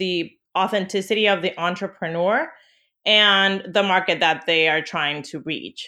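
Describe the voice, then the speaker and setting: A woman with a Spanish accent, medium in pitch with a bright, sharp tone, at a fairly slow pace, with ordinary pitch variation and a quiet background. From Venezuela. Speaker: branding agency CEO. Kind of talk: interview.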